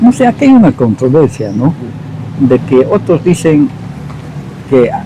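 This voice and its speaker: A man at a fairly slow pace, his loudness very even, against noticeable background noise. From Peru, Quillabamba (Cusco region). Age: 60s. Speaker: local elder interviewee. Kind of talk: oral history interview.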